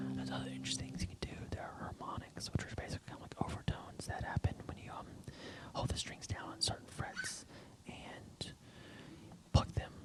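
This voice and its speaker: A man whispers at a fairly quick pace, his loudness swinging widely, with noticeable background noise. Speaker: guitarist and ASMR creator. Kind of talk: ASMR whispered explanation. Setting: studio with microphones. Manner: whispered, soft-spoken.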